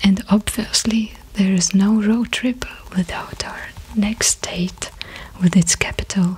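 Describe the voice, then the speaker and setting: A soft-spoken woman whispering at a very slow pace, over noticeable background noise. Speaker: ASMR creator. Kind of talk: ASMR whisper video. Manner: whispered, soft-spoken.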